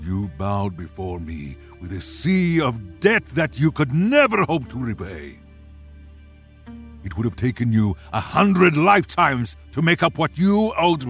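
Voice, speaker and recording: A booming, put-on character voice rants in a furious tone at a moderate pace with very wide pitch swings, with clear music in the background. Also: man, medium pitch for a man. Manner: booming, furious.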